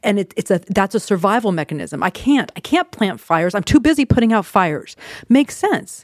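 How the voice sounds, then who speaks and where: The speech comes at a fairly quick pace on a very clean recording with a silent background. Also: woman. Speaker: therapist podcast host. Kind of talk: solo podcast monologue with tips. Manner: fast talker, excitable.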